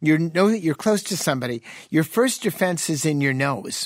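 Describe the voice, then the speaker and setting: A man with an ordinary speaking voice, fairly high pitch, lively intonation and a moderate pace. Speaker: physician and radio show host. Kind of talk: call-in health radio show. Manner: jovial, laughs often.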